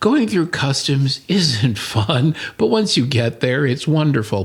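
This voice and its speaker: Very wide pitch swings mark this somewhat breathy voice. The recording is very clean, with a silent background. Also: man. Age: old. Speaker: podcast host, retired architect. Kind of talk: casual chat.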